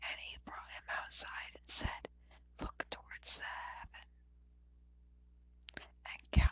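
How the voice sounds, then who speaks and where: A woman whispering. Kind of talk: ASMR whisper reading of scripture. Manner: whispered.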